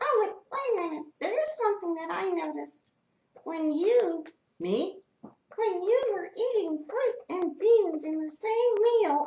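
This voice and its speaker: Extremely high in pitch, a woman's cartoonish character voice moves at a fairly slow pace. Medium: puppet.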